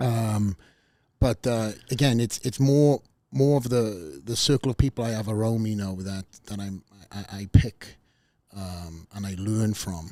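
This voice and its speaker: In a Welsh accent, a man speaks at a fairly slow pace in a fairly low, dark, mellow voice whose loudness swings widely, captured as a dry, close sound with no echo on a very clean recording with a silent background. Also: ordinary pitch variation. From Wales. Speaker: podcast host, former bodybuilder. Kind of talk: interview podcast chat. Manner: halting, many fillers and restarts.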